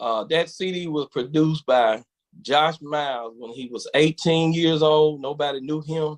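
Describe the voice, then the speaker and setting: Fairly high-pitched man in a Southern US accent, fairly slow pace, ordinary pitch variation, big swings in loudness. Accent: country Southern. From Verona, Mississippi. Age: 40s. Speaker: quartet gospel singer. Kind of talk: interview.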